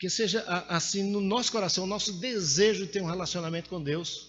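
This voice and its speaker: Audible room echo fills the recording. A man speaks at a moderate pace. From Brazil, Pernambuco (Caruaru). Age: 60s. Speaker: preacher. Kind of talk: sermon.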